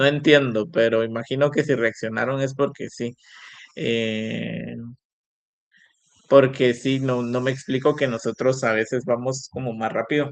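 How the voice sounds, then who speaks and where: The speaker is a man with a medium pitch. He talks at a fairly slow pace. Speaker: university lecturer. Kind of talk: online lecture. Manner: animated.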